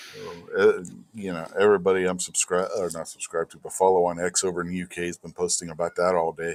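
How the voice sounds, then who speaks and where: Recorded dry and close with no echo, a man speaks at a very deep, low pitch. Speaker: podcast co-host. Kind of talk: casual chat. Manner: low-energy.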